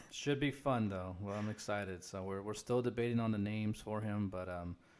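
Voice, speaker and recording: A man's fairly low voice, fairly quick and fairly even in intonation, on a very clean recording with a silent background. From Texas, Corpus Christi (born in Guatemala). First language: Spanish. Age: 30s. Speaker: Elvis tribute performer. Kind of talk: podcast interview.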